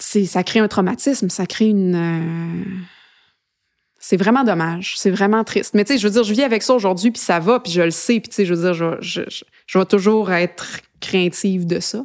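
She speaks at a medium pitch, with ordinary pitch variation. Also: moderate pace. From Quebec, Eastern Townships and Montreal. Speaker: singer-songwriter. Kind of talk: interview. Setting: studio. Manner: casual, hesitant.

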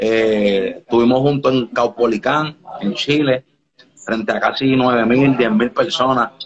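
A man's normal speaking voice at a medium pitch with fairly even intonation. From Dominican Republic, raised partly in Puerto Rico. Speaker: reggaeton artist. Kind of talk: casual interview on live stream. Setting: home studio under renovation.

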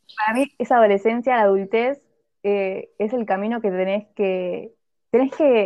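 With a Rioplatense accent, a woman talks at a moderate pace in a fairly high pitch. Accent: Argentine Spanish (rioplatense). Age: 20s. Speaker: podcast co-host. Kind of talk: casual chat.

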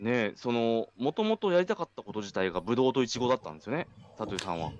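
Dry, close sound with no echo, a man at medium pitch with very wide pitch swings. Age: 30s. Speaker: farmer and podcast host. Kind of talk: casual chat.

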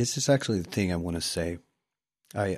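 Pitch variation here is ordinary. A man talks over a quiet background. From southern Sweden (Skåne countryside). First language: Swedish. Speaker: actor. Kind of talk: casual interview.

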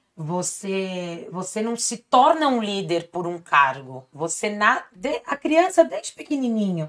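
A woman talks at a very slow pace with a medium pitch. Her pitch swings very widely and her loudness rises and falls sharply. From Brazil, São Bernardo do Campo (São Paulo). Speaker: family lawyer. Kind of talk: casual chat.

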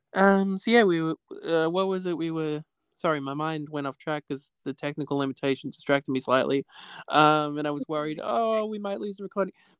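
In an ordinary speaking voice, a man talks at a fairly quick pace with ordinary pitch variation, recorded dry and close with no echo. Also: fairly high pitch for a man, quiet background. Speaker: podcast guest. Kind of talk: casual interview chat.

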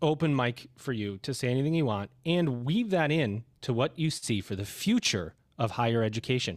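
A man's unremarkable speaking voice at medium pitch, with ordinary pitch variation, in a very clean recording against a silent background. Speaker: podcast host. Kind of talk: casual interview.

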